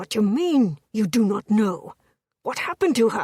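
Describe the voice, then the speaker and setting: A woman puts on a character voice at a fairly high pitch. Her pitch swings very widely at a moderate pace. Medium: read story. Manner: cold, menacing.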